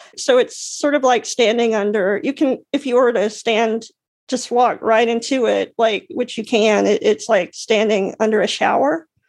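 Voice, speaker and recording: A woman speaks at a moderate pace in a fairly high pitch. Her pitch varies in an ordinary way. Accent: American. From US South, Alabama. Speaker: artist and accessibility advocate. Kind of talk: casual interview. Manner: halting, many fillers and restarts.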